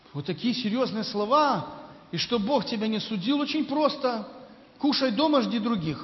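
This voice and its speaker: A man with an extremely high pitch speaks at a moderate pace, with lively intonation and long, frequent pauses. Audible room echo and noticeable background noise are present. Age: 50s. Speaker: visiting preacher. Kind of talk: sermon.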